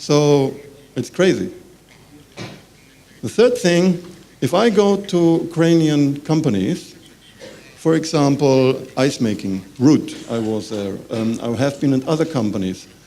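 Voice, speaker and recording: A man speaks at a fairly slow pace in a fairly high voice, his pitch swinging very widely, with long, frequent pauses and audible room echo. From Germany. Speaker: business representative. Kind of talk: conference panel talk. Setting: conference with audience. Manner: halting.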